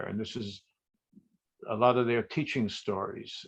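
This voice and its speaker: A man speaks in a plain, everyday voice at medium pitch. He keeps a moderate pace over a quiet background. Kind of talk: casual group call talk.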